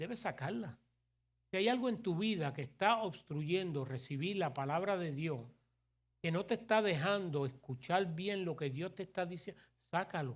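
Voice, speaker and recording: On a very clean recording with a silent background, a high-pitched man talks at a moderate pace in an animated tone with lively intonation. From New York City, Puerto Rican family. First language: English (speaking Spanish). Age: 60s. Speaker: pastor. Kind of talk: sermon. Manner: animated, conversational.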